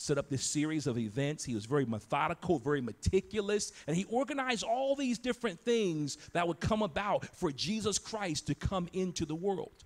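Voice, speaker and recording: A man talks at a moderate pace in a somewhat breathy voice. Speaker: pastor. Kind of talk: sermon. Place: church. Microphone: handheld.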